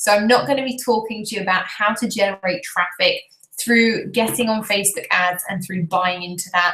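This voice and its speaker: A woman with a British accent at a fairly quick pace, her pitch variation ordinary. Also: medium pitch for a woman. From Britain. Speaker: business coach. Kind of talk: webinar presentation. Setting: live video stream. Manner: animated.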